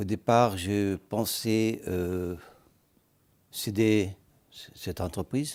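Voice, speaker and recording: A man speaks at a very slow pace with long, frequent pauses and fairly even intonation. The recording is very clean, with a silent background. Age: 70s. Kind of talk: TV interview. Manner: halting.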